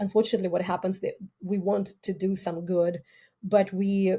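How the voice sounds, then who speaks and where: Speaking with a Russian accent, a woman uses a medium pitch and a dark, mellow tone that is somewhat breathy, at a moderate pace. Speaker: criminology professor. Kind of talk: interview. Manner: halting.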